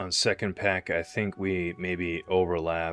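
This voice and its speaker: A man's mumbling, very deep, low voice, fairly slow and flat in monotone intonation. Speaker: gaming streamer. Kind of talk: live gameplay commentary. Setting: livestream. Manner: casual, conversational.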